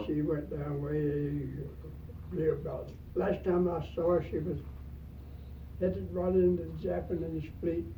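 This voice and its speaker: A man at a very slow pace. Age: 90s. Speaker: World War II Navy veteran. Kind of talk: interview answer.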